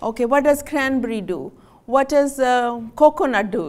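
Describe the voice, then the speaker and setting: Pitched high, a woman talks at a fairly unhurried pace. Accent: non-native. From Pakistan. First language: Punjabi. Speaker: physician. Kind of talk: health talk to audience. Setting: stage with audience. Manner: animated.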